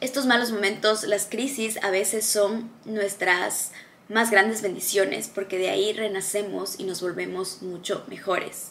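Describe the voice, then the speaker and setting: Against noticeable background noise and audible room echo, a woman speaks fairly slowly at a medium pitch with fairly even intonation. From Ecuador. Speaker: motivational video creator. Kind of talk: motivational talk to camera.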